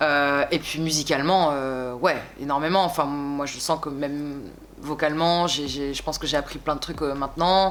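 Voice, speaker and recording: A woman speaks at a moderate pace in a very deep, low pitch. Her intonation stays fairly even. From France, Bordeaux. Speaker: singer. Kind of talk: interview. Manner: hesitant, many fillers.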